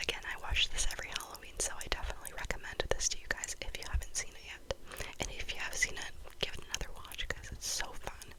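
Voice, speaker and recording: A woman is whispering at a fairly quick pace. Noticeable background noise is present. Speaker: ASMR content creator. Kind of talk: ASMR whisper-rambling about movies. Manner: whispered, soft-spoken, rambling.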